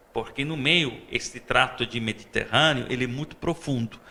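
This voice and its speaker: Bright and sharp in tone, a man's fairly high voice shows vocal fry and ordinary pitch variation at a moderate pace. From Sicily, Italy. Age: 40s. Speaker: vice-consul and chef. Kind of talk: interview. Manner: halting, many fillers.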